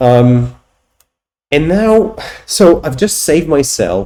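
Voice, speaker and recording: A man speaks with a Polish accent. His tone is dark and mellow. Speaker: software company owner and tech YouTuber. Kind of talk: screen-recorded tech demo. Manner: halting, many repetitions and fillers.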